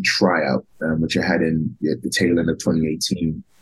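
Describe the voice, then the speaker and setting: A man's fairly slow speech in a London accent. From London, England (Tottenham). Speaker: professional wrestler. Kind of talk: interview.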